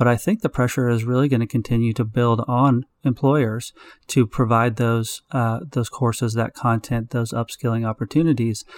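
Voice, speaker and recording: Delivered at a moderate pace with hardly any pauses and fairly even intonation, a plain, everyday voice comes through dry and close with no echo on a very clean recording with a silent background. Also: man, medium pitch for a man. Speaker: podcast host. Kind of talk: interview, hosting.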